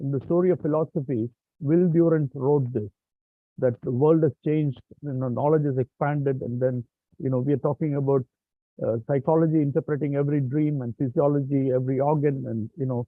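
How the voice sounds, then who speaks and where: A man talks at a fairly quick pace in an unremarkable speaking voice. His pitch is fairly high and his intonation fairly even. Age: 60s. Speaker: professor, session moderator. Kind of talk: closing remarks at online symposium.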